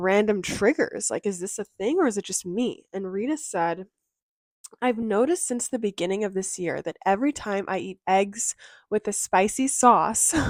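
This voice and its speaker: Recorded very clean with a silent background, a woman's medium-pitched voice comes through dry and close with no echo. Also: ordinary pitch variation, moderate pace. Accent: Californian. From Southern California. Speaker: mental health and self-help creator. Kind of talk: casual vlog talk to camera. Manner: chatty, with fillers like um and like.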